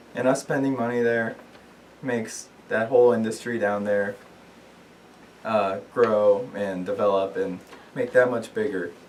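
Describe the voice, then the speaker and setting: At a fairly slow pace with long, frequent pauses, a man of medium pitch speaks with fairly even intonation over noticeable background noise. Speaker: student. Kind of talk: class speech. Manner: hesitant, many fillers.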